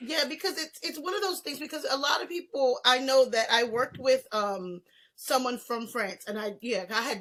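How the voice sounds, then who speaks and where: Speaking at a moderate pace in an American accent, a woman uses a high, raised, projected voice with a bright, sharp tone and very wide pitch swings. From US South. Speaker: podcast host. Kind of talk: interview.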